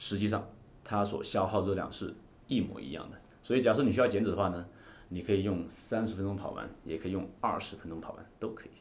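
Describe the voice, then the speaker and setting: Speaking very fast, a man with a fairly low pitch keeps his intonation fairly even while his loudness swings widely. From coal mining area in China, rural. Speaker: fitness coach and trainer of coaches. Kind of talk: interview chat about fitness. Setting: podcast studio.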